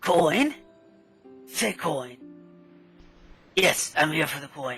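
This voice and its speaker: A put-on character voice, raspy, at a very slow pace. Faint music plays in the background. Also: man, fairly high pitch for a man. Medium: actual play. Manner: slow, absent-minded.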